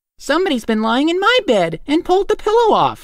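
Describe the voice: At a fairly quick pace, a put-on character voice talks at an extremely high pitch with very wide pitch swings.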